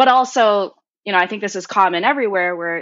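A woman with a Californian accent at a very fast pace. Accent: Californian American. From US West Coast, Cupertino, California. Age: 20s. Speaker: software developer and college student. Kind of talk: interview conversation.

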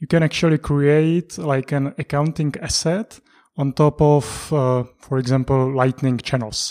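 In a dry, close sound with no echo, a man with a Czech accent speaks fairly slowly in a fairly high voice, dark and mellow in tone, with fairly even intonation. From Czech Republic. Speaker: economics analyst. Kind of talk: interview. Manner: halting.

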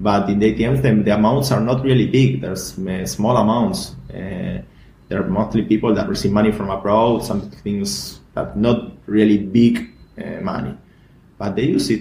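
Speaking with a Spanish accent at a moderate pace, a man with a fairly low pitch makes very wide pitch swings. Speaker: bitcoin community founder. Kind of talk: interview. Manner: halting.

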